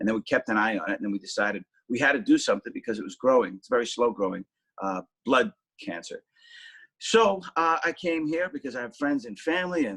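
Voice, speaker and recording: A man with a Boston accent talks at a very fast pace with a fairly high pitch. His pitch swings very widely and his loudness shifts a lot, in a dry, close sound with no echo. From Boston, South Boston. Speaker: actor and TV travel show host. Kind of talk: interview.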